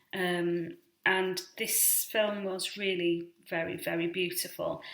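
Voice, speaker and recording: A woman talks very slowly at medium pitch with monotone, flat intonation, and the room echo is audible. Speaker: vlogger on rare disease. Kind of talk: casual explainer vlog. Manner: hesitant, many fillers.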